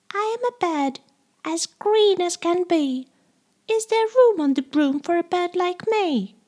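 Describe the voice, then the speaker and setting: A squeaky, put-on character voice, female-sounding and extremely high-pitched, speaks at a fairly slow pace. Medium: read story.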